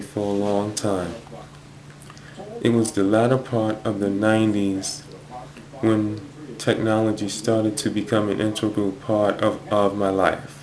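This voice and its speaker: Over noticeable background noise, a man with a fairly low pitch speaks at a fairly slow pace with monotone, flat intonation. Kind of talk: personal talk to camera. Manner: stutters.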